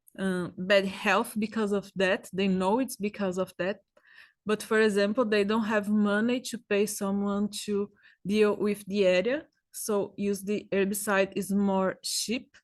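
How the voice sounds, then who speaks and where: At a fairly slow pace, a woman with a Brazilian Portuguese accent speaks at a medium pitch in a monotone, flat intonation against a quiet background. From Brazil, São Paulo. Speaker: agroecologist researcher. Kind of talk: presentation. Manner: halting.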